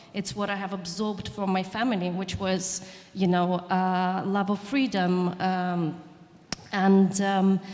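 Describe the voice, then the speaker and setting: Through noticeable background noise, a woman with a Russian accent speaks at a medium pitch. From southern Ukraine. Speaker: chef and writer. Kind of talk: panel discussion. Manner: halting, many restarts.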